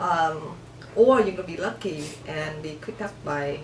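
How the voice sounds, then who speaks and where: A woman with a Vietnamese accent and a very deep, low pitch, at a moderate pace, with audible room echo and noticeable background noise. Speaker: refugee immigrant interviewee. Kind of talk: interview. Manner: halting, with self-corrections.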